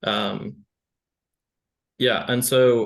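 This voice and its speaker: A man with a slight British accent speaks at a medium pitch. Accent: slight British-tinged. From UK, moved to US at eight. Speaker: small business owner. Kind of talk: casual chat.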